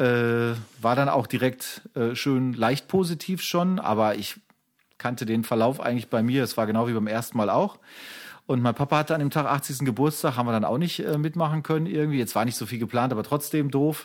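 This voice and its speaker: A man's medium-pitched voice, an unremarkable speaking voice, at a fairly quick pace with ordinary pitch variation in a very clean recording with a silent background. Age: 40s. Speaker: podcast co-host, photographer. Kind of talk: casual chat.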